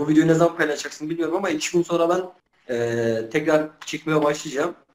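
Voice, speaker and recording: With ordinary pitch variation, a man talks at a fairly quick pace and a fairly high pitch. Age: 20s. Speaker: Kurdish-language YouTuber doing street interviews. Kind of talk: interview answers. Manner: hesitant, many filler sounds.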